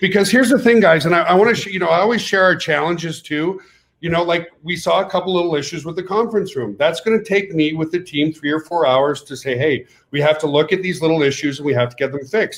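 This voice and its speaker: A man with a French Canadian accent talks at a very fast pace in a high voice with ordinary pitch variation. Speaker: network marketing company owner. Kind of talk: webinar pitch. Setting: webinar. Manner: animated.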